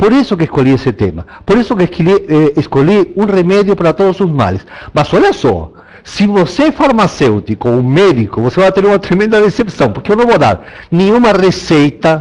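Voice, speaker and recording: With a Spanish accent, a man speaks at a moderate pace in a high voice that makes very wide pitch swings. His loudness stays very even, and there is noticeable background noise. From Argentina. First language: Spanish (speaking Portuguese). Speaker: landscape designer. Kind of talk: online talk. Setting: online talk.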